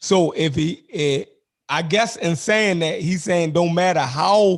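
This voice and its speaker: Talking at a very slow pace, a man with a Baltimore accent has a high pitch and ordinary pitch variation. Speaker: online discussion host. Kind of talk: casual debate chat. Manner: halting, many fillers.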